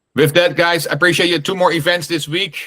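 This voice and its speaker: A man with a Dutch accent speaks with a bright, sharp tone. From Netherlands, Amsterdam. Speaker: real estate investor and meetup host. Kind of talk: online group meeting Q&A. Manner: halting, many fillers and repetitions.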